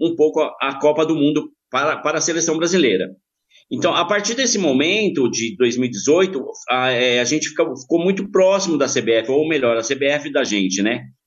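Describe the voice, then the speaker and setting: A man with a plain, everyday voice, fairly high pitch and a moderate pace. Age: 50s. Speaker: football supporter group member, insurance broker. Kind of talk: podcast interview.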